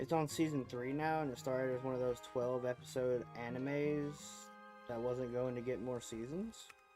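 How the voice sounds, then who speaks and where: Over music in the background, a woman with a Southern US accent speaks at a moderate pace in a very deep, low pitch and fairly even intonation. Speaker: streamer reading chat. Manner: playful, chatty.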